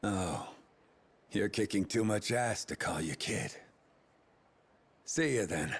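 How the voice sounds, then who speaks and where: In a put-on character voice, a man speaks raspy and fairly low in a playful tone, at a fairly slow pace with long, frequent pauses, on a very clean recording with a silent background. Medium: video game. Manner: sardonic, playful.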